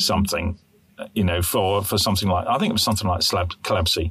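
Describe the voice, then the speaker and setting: A man talks with a British accent. Music plays in the background. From UK. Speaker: podcast co-host, infection control specialist. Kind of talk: casual chat.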